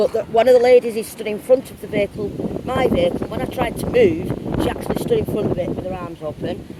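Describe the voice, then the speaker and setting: Speech comes at a very fast pace with an English accent, ordinary pitch variation and big swings in loudness. Noticeable background noise runs underneath. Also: woman, fairly high pitch for a woman. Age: 60s. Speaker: urban explorer. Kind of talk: phone call to police.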